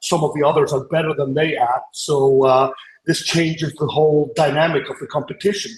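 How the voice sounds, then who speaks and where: A man speaks with an Icelandic accent. His pitch sits fairly high. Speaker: podcast panelist, athlete coach. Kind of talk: panel debate argument. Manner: hesitant, with filler sounds.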